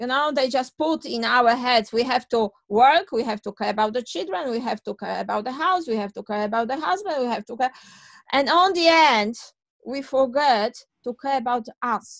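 A woman with a Polish accent speaks in a high voice with lively intonation at a moderate pace. The sound is dry and close with no echo. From Poland. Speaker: childcare owner and author. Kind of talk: interview.

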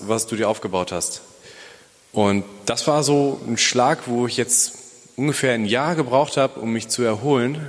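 Noticeable background noise behind a man's voice, moderate in pace and ordinary in pitch variation. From Bielefeld, Germany. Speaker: police officer and church planter. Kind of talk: testimony. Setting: church.

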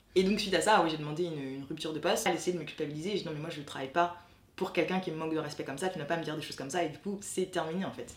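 Through audible room echo and noticeable background noise, a woman speaks at a very fast pace with fairly even intonation. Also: fairly low pitch for a woman. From France. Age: 20s. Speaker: graduate student. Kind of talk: testimony.

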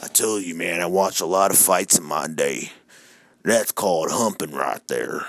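In a raspy, put-on character voice, a man talks at a moderate pace with very deep, low pitch and ordinary pitch variation. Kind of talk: folksy, redneck.

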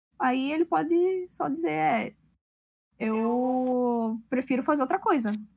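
In a Pernambuco accent, a woman speaks very slowly at high pitch with very wide pitch swings and very even loudness. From Recife, Pernambuco. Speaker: tournament organizer and judge. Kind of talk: casual chat.

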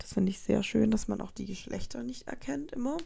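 A woman is talking. Her tone is animated. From Colombia, moved to Germany as a child. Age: 20s. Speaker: podcast host. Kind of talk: casual monologue. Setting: recorded late at night.

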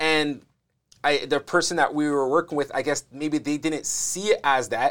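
This man's voice is fairly high in pitch. The recording itself is very clean, its background silent. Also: moderate pace. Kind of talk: casual interview. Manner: animated, frequent interjections.

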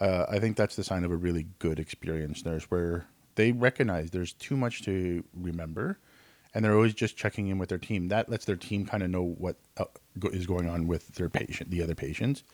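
In a Canadian accent, a man talks at a fairly quick pace with a very deep, low pitch. The sound is dry and close with no echo, on a very clean recording with a silent background. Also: ordinary pitch variation. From Canada. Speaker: nurse and nursing instructor. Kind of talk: casual chat.

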